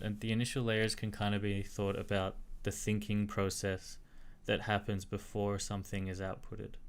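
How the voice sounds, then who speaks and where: A man speaks at a moderate pace with a fairly low pitch. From Australia. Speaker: tech streamer. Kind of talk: live-stream research talk. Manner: casual, filler-heavy.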